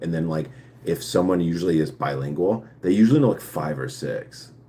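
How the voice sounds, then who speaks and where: A man's very deep, low voice with vocal fry, a dark, mellow tone and a fairly quick pace. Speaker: live streamer answering viewer questions. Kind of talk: casual live stream chat. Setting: live stream. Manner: halting, with fillers and restarts; speech affected by past brain injury.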